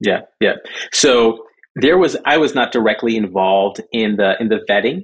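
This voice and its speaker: A man with a normal speaking voice talks at a moderate pace and medium pitch, his intonation lively and his loudness very even. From Southern California (born in Jamaica). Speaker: crypto organization executive director. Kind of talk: interview.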